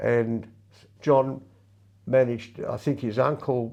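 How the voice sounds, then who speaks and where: Fairly even in intonation, a man with an Australian accent speaks at a medium pitch in a dark, mellow tone. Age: 80s+. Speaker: retired lawyer and masters athlete. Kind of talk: interview. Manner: halting.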